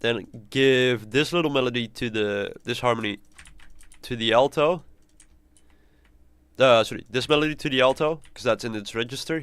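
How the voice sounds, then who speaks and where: A man's medium-pitched voice at a moderate pace, with ordinary pitch variation, big swings in loudness and long, frequent pauses, in a dry sound with no echo. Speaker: composer streamer. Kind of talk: live stream tutorial. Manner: halting, repeats words. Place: home room.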